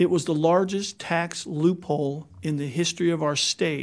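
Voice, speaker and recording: Over a quiet background, a man speaks at a fairly slow pace with an American accent. His pitch is high and his intonation fairly even. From Kansas. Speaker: state legislator; witness. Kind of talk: hearing testimony; testimony. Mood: earnest, critical. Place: hall. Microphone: podium.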